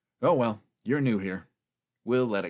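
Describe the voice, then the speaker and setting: Putting on a character voice, a man speaks at a moderate pace with a medium pitch and ordinary pitch variation. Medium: read story. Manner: casual, slangy.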